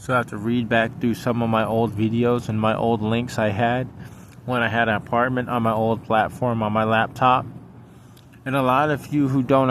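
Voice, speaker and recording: The speaker mumbles at a moderate pace in a monotone, flat intonation. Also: man. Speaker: vlogger. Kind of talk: personal monologue vlog. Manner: mumbling; halting.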